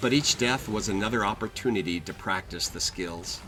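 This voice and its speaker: With lively intonation, a man talks at a moderate speed while music sounds in the background. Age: 60s. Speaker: grandfather gamer. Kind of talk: personal reflective voiceover narration.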